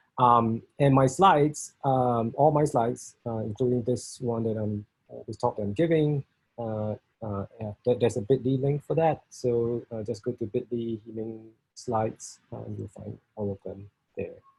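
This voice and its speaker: Speaking in a Singaporean accent at a moderate pace, a somewhat breathy man swings widely in loudness, heard in a dry, close sound with no echo. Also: medium pitch for a man, ordinary pitch variation. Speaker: software test engineering leader. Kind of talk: technical talk. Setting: video call. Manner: halting, many fillers.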